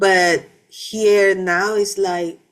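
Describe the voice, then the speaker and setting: Her pitch medium and her intonation monotone and flat, a woman speaks at a very slow pace. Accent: Panamanian. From Panama. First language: Spanish. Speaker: vlogger. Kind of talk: personal testimony. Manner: halting, many fillers and restarts.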